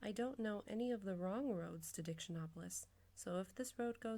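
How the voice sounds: A natural reading voice runs through the recording.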